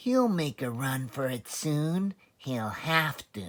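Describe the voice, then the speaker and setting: A man puts on a character voice at medium pitch, with lively intonation. He goes at a very slow pace. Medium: read story.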